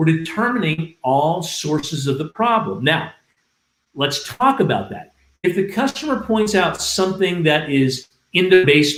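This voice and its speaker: A man speaks with lively intonation. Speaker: restoration industry trainer. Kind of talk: livestream training talk. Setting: livestream. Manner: loud; clearly enunciated.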